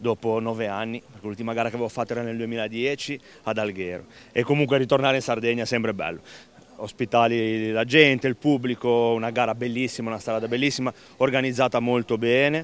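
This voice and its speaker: Speaking at a very fast pace, a man keeps his intonation fairly even in a dry recording with no echo. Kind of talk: interview answer. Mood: pleased, smiling. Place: street. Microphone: handheld.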